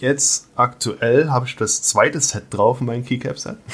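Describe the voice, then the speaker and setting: Breathiness is somewhat present in this voice. Pitch variation is ordinary. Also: man. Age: 30s. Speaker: metalworker and podcaster. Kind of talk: casual interview.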